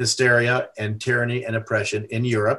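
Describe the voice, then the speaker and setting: A man at a medium pitch and moderate pace, with an American accent, against a quiet background. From USA. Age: 60s. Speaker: activist, religious freedom advocate. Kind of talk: podcast interview. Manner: halting, many fillers.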